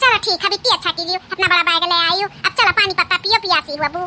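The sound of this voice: A woman uses a cartoonish character voice pitched extremely high. She talks at a very fast pace. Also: ordinary pitch variation.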